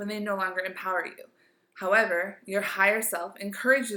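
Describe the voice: Fairly even intonation over plain reading aloud.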